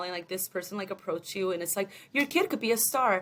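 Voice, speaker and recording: A woman with a Spanish accent talks at a very fast pace. Her medium pitch shows ordinary variation. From Mexico, raised partly in Long Beach, California. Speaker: entertainment development assistant. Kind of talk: podcast interview. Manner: casual, hesitant with many fillers.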